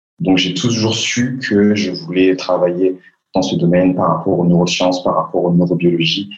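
With music in the background, a man talks in a very deep, low pitch. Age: 20s. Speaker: public speaking coach. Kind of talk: interview.

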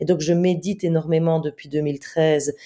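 A woman speaks at a fairly slow pace in a dark, mellow tone. The recording is very clean, with a silent background. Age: 40s. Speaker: comedian and author. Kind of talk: interview.

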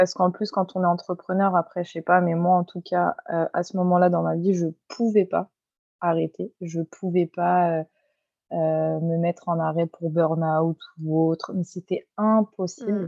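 Flat, monotone intonation runs through this fairly slow speech. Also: woman, fairly low pitch for a woman. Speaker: hairdresser and salon owner. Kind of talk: interview.

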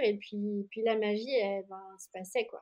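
Her tone is dark and mellow, and this woman talks very slowly at a fairly high pitch with fairly even intonation. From France, Jura. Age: 30s. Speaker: yoga teacher and studio founder. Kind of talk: interview.

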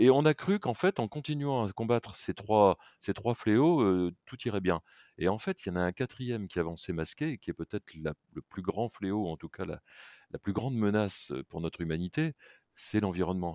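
A man with a fairly low pitch and a dark, mellow tone speaks at a moderate pace. His loudness swings widely. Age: 60s. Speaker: packaging company executive. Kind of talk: interview.

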